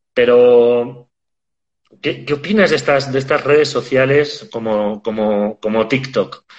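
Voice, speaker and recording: This man's pitch is medium and varies in an ordinary way. He talks at a very slow pace. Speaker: podcast host. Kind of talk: interview. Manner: hesitant, repeats words.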